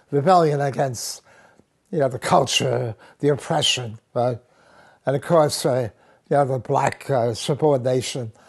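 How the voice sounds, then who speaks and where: In an American accent, a man speaks fairly slowly at a medium pitch, somewhat breathy, with ordinary pitch variation. The background is quiet. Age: 80s+. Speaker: interviewee recounting his life. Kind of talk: life-story interview. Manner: halting, many fillers and repetitions.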